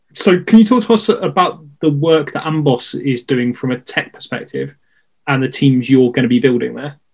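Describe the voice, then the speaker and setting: A man uses an unremarkable speaking voice at a fairly high pitch. He talks at a moderate pace with lively intonation. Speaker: podcast host. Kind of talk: interview conversation.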